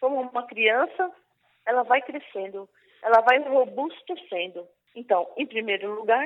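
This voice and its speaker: Lively intonation at a moderate pace. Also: woman. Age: 60s. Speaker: prayer group coordinator. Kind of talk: testimony and preaching. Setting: online radio broadcast.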